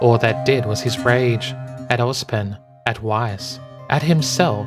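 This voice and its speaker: A speaker with an Australian accent. Music plays in the background. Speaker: fanfiction reader. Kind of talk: read story.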